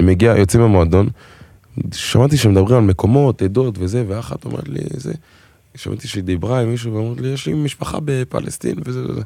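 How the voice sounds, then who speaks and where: This speaker's delivery is fairly quick. The intonation sounds lively. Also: man, medium pitch for a man. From Israel, Togolese family. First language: French (speaking Hebrew). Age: 20s. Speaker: singer and dancer. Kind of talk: casual chat.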